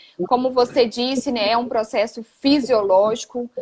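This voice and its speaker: A high-pitched woman with a Goiás accent, at a moderate pace with fairly even intonation. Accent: Goiás accent with strong retroflex R. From Goiás, Brazil. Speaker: physiotherapist. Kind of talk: casual chat. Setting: live stream.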